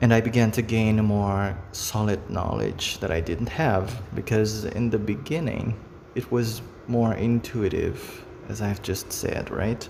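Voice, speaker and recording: At a fairly slow pace, a man with a Brazilian Portuguese accent speaks in a fairly low pitch with ordinary pitch variation. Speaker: face reading hobbyist, video creator. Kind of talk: casual monologue to camera. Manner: halting, with fillers.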